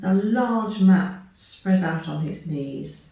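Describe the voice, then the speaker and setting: Noticeable background noise sounds behind speech delivered very slowly. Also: woman. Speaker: storyteller. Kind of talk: children's story reading.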